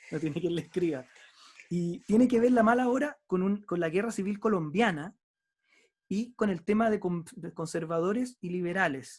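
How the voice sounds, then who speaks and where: Here a man speaks with a high pitch. His pitch variation is ordinary. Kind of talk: book discussion conversation.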